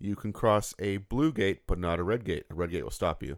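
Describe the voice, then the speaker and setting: At a fairly quick pace, a man with a plain, everyday voice and fairly low pitch speaks on a very clean recording with a silent background. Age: 40s. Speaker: podcast co-host. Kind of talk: casual chat.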